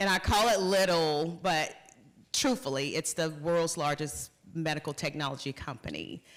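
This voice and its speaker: Speaking with a Southern US accent, a woman uses a very deep, low pitch on a very clean recording with a silent background. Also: ordinary pitch variation, moderate pace. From US South, North Carolina. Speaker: corporate executive. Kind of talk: conference talk.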